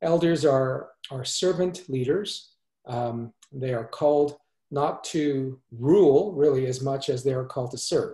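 Somewhat breathy and dark, mellow in tone, the voice moves at a fairly slow pace with ordinary pitch variation, audible room echo and a quiet background. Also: man, fairly high pitch for a man. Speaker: church minister. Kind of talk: interview conversation. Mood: warm, gentle. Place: home room. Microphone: video call.

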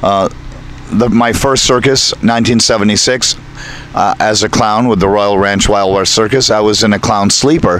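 Speaking at a moderate pace with fairly low pitch and fairly even intonation, a man keeps his loudness very even in a dry recording with no echo and light background noise. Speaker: circus ringmaster. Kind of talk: interview answer. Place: open country. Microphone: handheld.

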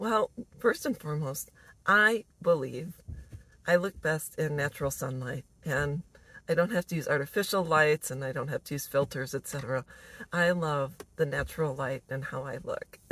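The recording is dry with no echo as a woman speaks at a moderate pace in a very deep, low voice. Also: ordinary pitch variation. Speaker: vlogger. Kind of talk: casual vlog chat. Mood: warm, smiling, relaxed. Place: car. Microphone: phone near.

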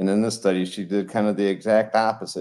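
A man with an American accent has an unremarkable speaking voice at a fairly low pitch. He talks at a moderate pace against a quiet background. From Colorado. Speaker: retired veterinarian; guest. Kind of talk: interview; interview answer. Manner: casual, many fillers. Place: home room. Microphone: video call.

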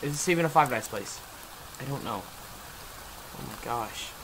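There's noticeable background noise as a man speaks at a fairly slow pace. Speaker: gamer. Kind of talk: gameplay commentary. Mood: frustrated, nervous.

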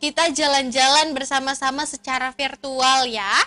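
A woman speaks in a raised, projected voice with a bright, sharp tone and a fairly slow pace. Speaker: event host for preschool children. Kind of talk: cheerful presenting to children.

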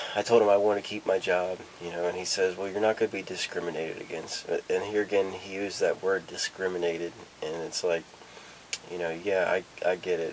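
Light background noise sits under a man's voice. His pitch is very deep and low, and his intonation is monotone and flat. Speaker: vlogger. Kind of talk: casual vlog chat. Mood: nervous, reflective, hesitant. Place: home room. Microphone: camera far.

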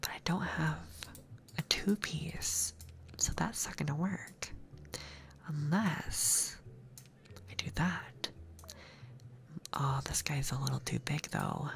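Whispering in a soothing tone, a man speaks at a very slow pace with long, frequent pauses. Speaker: ASMR gaming streamer. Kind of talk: ASMR gaming commentary. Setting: binaural microphone recording. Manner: soft-spoken, soothing. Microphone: studio mic.

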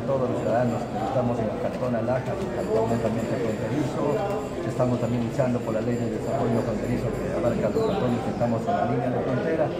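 A man speaks at a very fast pace while loud background noise fills the clip. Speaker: town mayor. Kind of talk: interview answer. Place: hall. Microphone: handheld.

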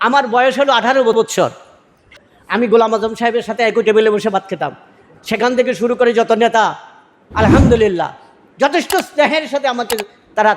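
With ordinary pitch variation, a man speaks in an extremely high voice. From Bangladesh, Noakhali. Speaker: local political candidate. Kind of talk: religious speech. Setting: iftar gathering.

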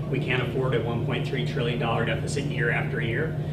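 A man at a moderate pace against loud background noise. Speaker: candidate. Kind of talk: campaign speech. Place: meeting room. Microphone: handheld.

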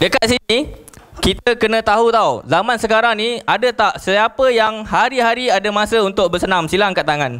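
A man with a high pitch speaks in a bright, sharp tone at a moderate pace, with ordinary pitch variation. His loudness stays very even, and the background is quiet. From Malaysia. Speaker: network marketing distributor; presenter. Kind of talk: sales presentation. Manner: animated. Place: hall.

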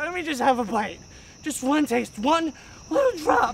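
In a put-on character voice with a high pitch, the speaker moves at a moderate pace over clear background noise. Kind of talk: comedic, junkie-like. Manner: desperate, pleading, begging. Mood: wheedling, comic menace.

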